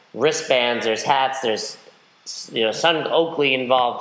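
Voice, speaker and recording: The room has an audible echo. The pace is moderate. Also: man. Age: 30s. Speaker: podcast host and CrossFit coach. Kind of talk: interview.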